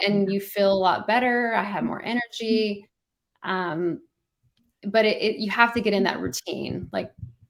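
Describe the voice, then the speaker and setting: A woman with a plain, everyday voice speaks at a fairly slow pace with ordinary pitch variation. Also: medium pitch for a woman. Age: 40s. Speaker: marathon runner, mother. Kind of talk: interview answer.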